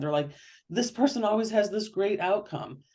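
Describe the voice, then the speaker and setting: A woman speaks with a dark, mellow tone. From Michigan, Detroit area. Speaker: author. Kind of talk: interview. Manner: fast; animated.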